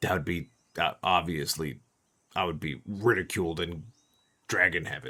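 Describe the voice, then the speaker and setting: Using a raspy put-on character voice, a man speaks with a very deep, low pitch. His pace is moderate, with long, frequent pauses. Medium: actual play. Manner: whiny, rambling.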